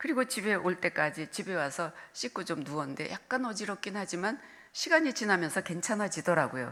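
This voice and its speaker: A woman's voice has a bright, sharp tone at medium pitch. Her pitch swings very widely. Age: 70s. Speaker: retired senior pastor. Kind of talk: sermon. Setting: church.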